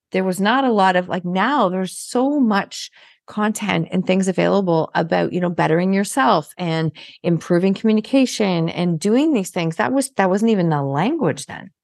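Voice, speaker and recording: A woman with a normal speaking voice at medium pitch, moderate pace and lively intonation, against a quiet background. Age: 50s. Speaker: podcast host and business coach. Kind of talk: interview.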